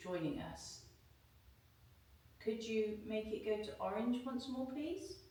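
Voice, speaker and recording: The speech comes at a very slow pace. Noticeable background noise and audible room echo surround it. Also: woman. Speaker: paranormal investigator. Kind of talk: casual chat. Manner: soft-spoken.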